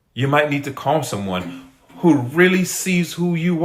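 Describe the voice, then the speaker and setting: A fairly high, somewhat breathy male voice moves with lively intonation. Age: 50s. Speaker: life coach. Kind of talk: motivational talk. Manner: earnest, repetitive emphasis.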